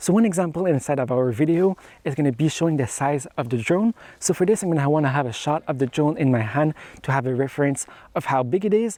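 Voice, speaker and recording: A man talks at a very fast pace with lively intonation. His fairly high voice has a dark, mellow tone. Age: young. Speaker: YouTuber, photographer and filmmaker. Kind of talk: tutorial. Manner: scripted delivery.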